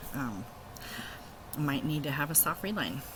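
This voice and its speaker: Over noticeable background noise, a woman speaks in a very deep, low voice. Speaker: video blogger. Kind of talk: casual vlog. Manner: halting, many fillers.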